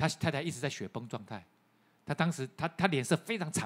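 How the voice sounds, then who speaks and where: At a fairly quick pace, a man with a fairly high pitch talks with lively intonation and vocal fry. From Taiwan. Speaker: pastor. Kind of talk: sermon. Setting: church. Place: church. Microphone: handheld.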